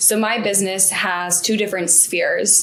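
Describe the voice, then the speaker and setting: A woman's medium-pitched voice amid noticeable background noise and audible room echo. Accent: American. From United States. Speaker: business coach and consultant. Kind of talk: interview.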